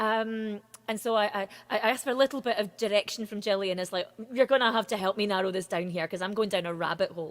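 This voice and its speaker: A woman speaks in a Scottish accent at a very fast pace. Her pitch is medium, with ordinary variation. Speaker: singer-songwriter. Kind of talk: interview.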